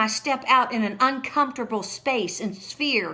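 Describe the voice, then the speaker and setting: A woman's high-pitched voice with lively intonation at a fairly slow pace, over noticeable background noise. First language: not English. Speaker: preacher and author. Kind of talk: sermon. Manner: animated.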